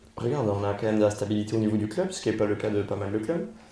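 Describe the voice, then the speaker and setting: Amid audible room echo, a man speaks at a fairly low pitch with a dark, mellow tone. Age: 30s. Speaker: football fan co-host. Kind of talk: casual chat.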